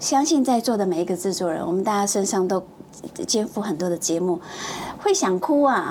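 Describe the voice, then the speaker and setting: Over noticeable background noise, a woman of medium pitch speaks at a fairly quick pace with lively intonation. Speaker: TV producer. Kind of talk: casual chat. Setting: studio.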